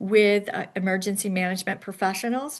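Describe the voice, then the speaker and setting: This is an unremarkable speaking voice at a moderate pace over a quiet background. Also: woman. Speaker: home care association staff presenter. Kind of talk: online forum presentation.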